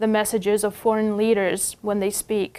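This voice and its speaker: The pace is moderate. She is a woman with a Russian accent. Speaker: news reporter. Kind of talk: news segment commentary.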